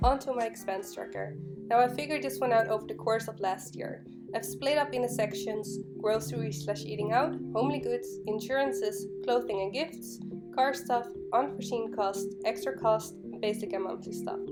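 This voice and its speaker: With music in the background, a woman at a medium pitch speaks at a moderate pace with very wide pitch swings. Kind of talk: casual voiceover for a craft video. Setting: laptop microphone.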